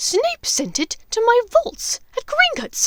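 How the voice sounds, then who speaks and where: This put-on character voice growls and squeaks at a fairly slow pace with very wide pitch swings. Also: woman. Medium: read story. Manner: rough, growling.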